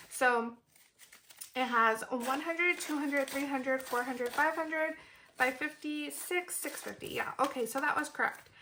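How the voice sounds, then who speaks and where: A bubbly, raised and projected voice speaks at a moderate pace with ordinary pitch variation over noticeable background noise. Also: woman, high pitch for a woman. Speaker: budgeting vlogger. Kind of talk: casual vlog tutorial. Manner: bubbly, energized.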